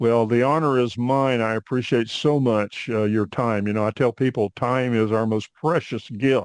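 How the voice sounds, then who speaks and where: An unremarkable speaking voice with an American accent moves at a moderate pace with hardly any pauses and fairly even intonation. The sound is dry and close with no echo, over a quiet background. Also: man, medium pitch for a man. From US South, Northwest Arkansas. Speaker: podcast host, Air Force veteran. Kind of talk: podcast interview.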